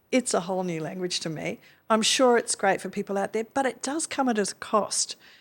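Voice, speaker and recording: Recorded very cleanly against a silent background, a woman speaks with an Australian accent. Her pitch is medium and her pace fairly quick. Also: ordinary pitch variation. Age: 60s. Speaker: retired management rights operator. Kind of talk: podcast interview.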